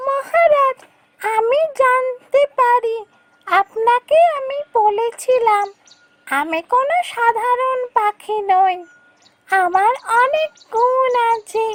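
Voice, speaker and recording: A woman's cartoonish character voice at an extremely high pitch and very slow pace. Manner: calm, assured.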